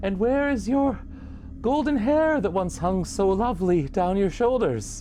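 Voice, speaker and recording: A man puts on a character voice pitched high, speaking at a moderate pace. His loudness stays very even over clear background noise. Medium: solo performance. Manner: forced politeness over fear.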